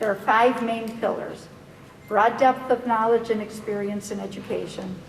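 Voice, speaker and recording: With an American accent, a woman with a fairly high pitch talks at a moderate pace in a monotone, flat intonation, with noticeable background noise behind her. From US Midwest, Merrill, Wisconsin. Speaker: physician applying for school board seat. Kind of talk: prepared public statement. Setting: public board meeting. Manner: formal.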